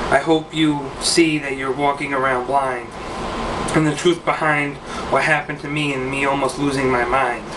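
A man speaks at a moderate pace while noticeable background noise runs beneath him. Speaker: poet. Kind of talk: spoken word poem, read aloud with rhyme. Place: home room. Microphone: webcam.

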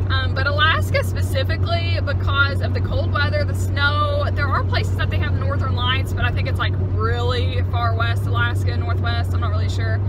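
A woman speaks with hardly any pauses. The sound is dry with no echo, over loud background noise. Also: fairly quick pace. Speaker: vlogger. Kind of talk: casual vlog chat. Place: car. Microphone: phone near.

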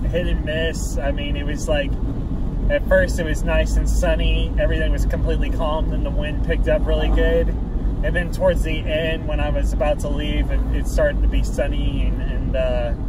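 A man's voice sounds dry with no echo, over loud background noise. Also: moderate pace. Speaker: fishing vlogger. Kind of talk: casual vlog chat. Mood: cheerful, upbeat. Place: car. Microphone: phone near.

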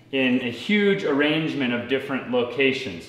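Audible room echo surrounds a man speaking with ordinary pitch variation. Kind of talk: tutorial. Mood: relaxed, upbeat. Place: garage. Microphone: camera far.

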